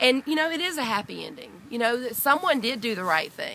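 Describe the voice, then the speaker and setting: A woman talks loudly with a Southern US accent. Her intonation is lively. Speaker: dog owner, burglary victim. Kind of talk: interview testimony. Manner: halting.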